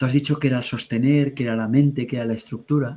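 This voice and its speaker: The man's voice is somewhat breathy, with a dark, mellow tone. He talks at a medium pitch and a fairly quick pace. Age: 60s. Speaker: spiritual teacher. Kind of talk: webinar conversation. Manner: halting.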